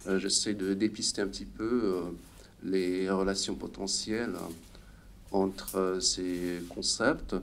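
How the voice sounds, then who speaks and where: A man speaks with a non-native accent at a very slow pace. Audible echo fills the room. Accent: foreign accent in French. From Hungary. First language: Hungarian (speaking French). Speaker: sociologist, conference speaker. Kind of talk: conference talk. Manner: halting, many hesitations.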